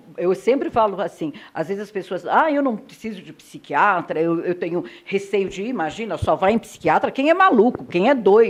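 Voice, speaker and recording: Very wide pitch swings from a woman at a moderate pace. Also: medium pitch for a woman. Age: 60s. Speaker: TV talk show host. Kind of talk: interview. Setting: doctor's office.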